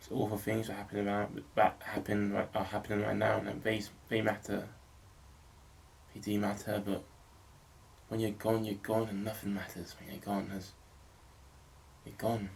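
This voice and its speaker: A man mumbles at a moderate pace in a fairly low, monotone, flat voice. His loudness swings widely, and he takes long, frequent pauses. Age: 20s. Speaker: filmmaker vlogger. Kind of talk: personal video diary monologue. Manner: mumbling.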